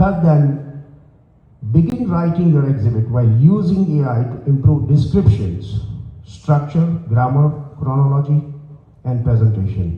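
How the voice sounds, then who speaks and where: A man with an Indian accent and a fairly high pitch speaks at a fairly slow pace with lively intonation and long, frequent pauses. Audible room echo and noticeable background noise fill the recording. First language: Gujarati. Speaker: panelist, stamp collector and exhibitor. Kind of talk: panel discussion presentation.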